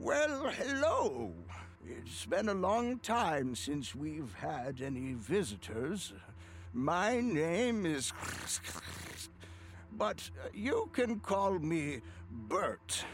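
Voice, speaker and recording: In a put-on character voice pitched high, a man speaks at a very slow pace with long, frequent pauses over clear background noise. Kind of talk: friendly, welcoming. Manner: rattling and clicking, with a translated voice.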